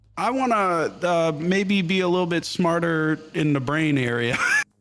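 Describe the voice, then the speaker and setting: Music plays in the background as a man with a high pitch speaks at a very slow pace. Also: very even loudness. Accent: American. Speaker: gaming streamer. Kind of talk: casual interview chat.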